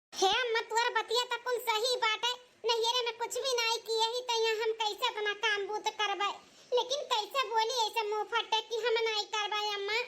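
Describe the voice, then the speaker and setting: A woman's cartoonish character voice at an extremely high pitch, moderate in pace and monotone, with flat intonation. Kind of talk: cartoon comedy skit.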